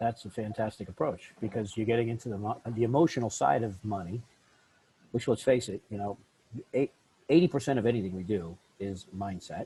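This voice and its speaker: A man's somewhat breathy voice, fairly low in pitch, with a dark, mellow tone, ordinary pitch variation and a fairly quick pace. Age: 60s. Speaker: podcast host, business coach. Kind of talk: podcast interview. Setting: podcast.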